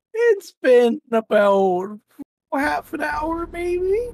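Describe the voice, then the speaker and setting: This put-on character voice sits at a high pitch with very wide pitch swings. The pace is very slow. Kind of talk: put-on old lady voice. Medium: actual play. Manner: hesitant, stammering, sweet.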